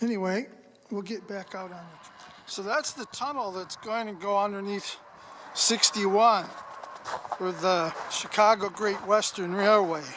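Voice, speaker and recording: Noticeable background noise sits behind a man with a high pitch. He talks at a fairly slow pace with fairly even intonation and long, frequent pauses. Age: 70s. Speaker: railroad history vlogger. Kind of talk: casual walking vlog narration. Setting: outdoors. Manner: folksy, conversational.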